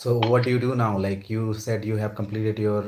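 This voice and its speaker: A man speaks in a flat monotone at a fairly low pitch, with noticeable background noise behind him. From India. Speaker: English practice partner. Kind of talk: casual chat.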